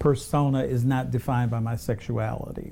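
A plain, everyday voice: a man with an American accent, medium pitch, fairly even intonation, and a fairly slow pace. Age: 60s. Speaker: grant consultant. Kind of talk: panel discussion.

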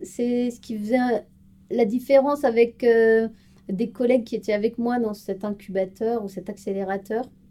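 Her loudness swings widely as this woman talks at a fairly slow pace. She has an unremarkable speaking voice with a fairly high pitch. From France, Strasbourg (Alsace). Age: 30s. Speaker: corporate intrapreneur, marketing project manager. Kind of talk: interview.

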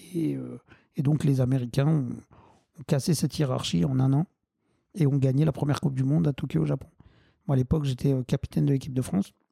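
A man's somewhat breathy, medium-pitched voice with a dark, mellow tone, very fast pace, long, frequent pauses, ordinary pitch variation and a dry, close sound with no echo. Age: 40s. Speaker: wheelchair football club president. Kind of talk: interview. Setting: at home. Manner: halting.

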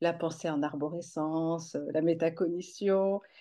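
A woman is speaking. Her tone is dark and mellow. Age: 50s. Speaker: education counselor, former caregiver. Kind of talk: testimony. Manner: halting, repeats words.

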